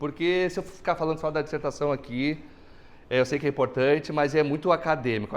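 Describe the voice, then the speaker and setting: Here a man speaks at a fairly high pitch. His pace is fairly quick and his intonation fairly even. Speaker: accountant and lecturer. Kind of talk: lecture. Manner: fast.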